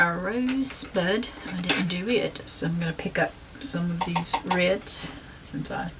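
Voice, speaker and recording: In a Southern US accent, a woman talks with a fairly low pitch and ordinary pitch variation. Noticeable background noise runs beneath her. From South Carolina, US South. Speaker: painting instructor. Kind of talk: tutorial. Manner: casual, with frequent fillers.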